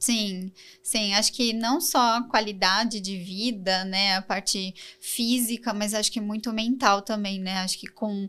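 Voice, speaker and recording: A woman speaks in an ordinary speaking voice. Her pitch is fairly high, and her intonation is fairly even. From Brazil, São Paulo. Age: 30s. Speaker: design coordinator. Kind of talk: podcast interview.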